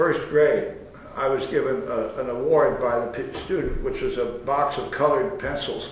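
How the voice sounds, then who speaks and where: A man speaks over noticeable background noise. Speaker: architect. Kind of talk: interview answer. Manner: hesitant, rambling.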